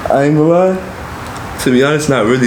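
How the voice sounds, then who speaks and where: A man with an American accent talks at a very fast pace, with ordinary pitch variation. Noticeable background noise and audible room echo are present. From Grenada, then Florida from age six. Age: young. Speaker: rapper. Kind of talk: casual interview. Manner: casual, many fillers.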